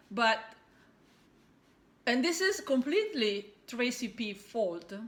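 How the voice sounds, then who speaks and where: Amid noticeable background noise, someone speaks very slowly with an Italian accent, the pitch swinging very widely. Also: woman, high pitch for a woman. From Italy. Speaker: cross-stitch video blogger. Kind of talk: casual vlog monologue. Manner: halting, many fillers.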